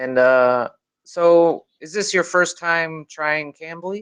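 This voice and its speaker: In a Midwestern American accent, a man talks at a very slow pace with ordinary pitch variation, the sound dry and close with no echo. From US, Chicago. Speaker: online English tutor. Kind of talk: casual conversation practice.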